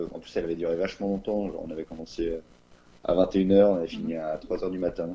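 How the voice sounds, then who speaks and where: Talking at a fairly quick pace, the speaker moves along briskly. He is a man. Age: 20s. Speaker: interviewee sharing personal testimony. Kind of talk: testimony. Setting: remote recording. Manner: halting, many hesitations. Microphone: no microphone, average sound quality.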